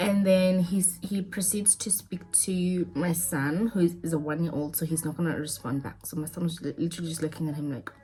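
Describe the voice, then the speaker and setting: Fairly even intonation comes through over noticeable background noise. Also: woman, fairly low pitch for a woman, fairly quick pace. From South Africa. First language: not English (a South African language). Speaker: lifestyle vlogger. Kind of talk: storytime monologue. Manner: casual, repetitive.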